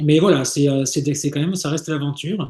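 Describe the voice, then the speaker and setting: A man's fairly high, somewhat breathy voice, dark and mellow in tone, with ordinary pitch variation. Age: 60s. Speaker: sailor and travel agency founder. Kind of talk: interview. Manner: halting, many repetitions and fillers.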